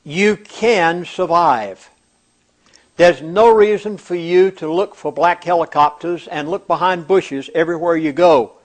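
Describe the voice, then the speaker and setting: With an American accent, a man speaks at a fairly slow pace in a high pitch, his pitch varying in an ordinary way. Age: 70s. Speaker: pastor. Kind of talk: scripted narration.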